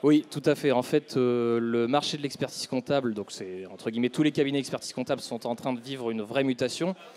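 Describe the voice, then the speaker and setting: A man with a normal speaking voice, medium pitch and ordinary pitch variation, at a fairly quick pace with hardly any pauses. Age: 30s. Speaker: chartered accountant. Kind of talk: business interview.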